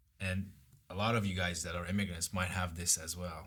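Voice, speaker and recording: A man speaks with a slight Persian accent at a moderate pace. His tone is bright and sharp. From Iran. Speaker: guest. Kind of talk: casual chat.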